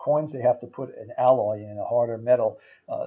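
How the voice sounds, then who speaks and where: A man's somewhat breathy voice. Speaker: sales presenter. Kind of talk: sales pitch. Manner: halting with many fillers.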